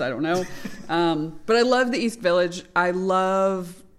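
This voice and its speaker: With an American accent, a woman talks in a plain, everyday voice. Her pitch is fairly low, with ordinary variation. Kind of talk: casual chat. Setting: comedy club.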